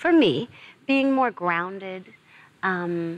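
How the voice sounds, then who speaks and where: Medium in pitch, a woman speaks with an American accent and lively intonation. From New York, raised by South African parents. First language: Zulu. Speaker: actress. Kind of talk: TV interview.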